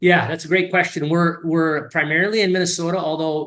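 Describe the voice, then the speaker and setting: A man at a fairly quick pace. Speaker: company founder and CEO. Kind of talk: interview. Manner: fast; animated.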